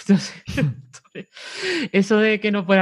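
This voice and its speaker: A woman speaks in a Cádiz accent, the sound dry and close with no echo. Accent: Cádiz accent, kept. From Cádiz, Andalusia, Spain. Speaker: web designer. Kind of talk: interview conversation.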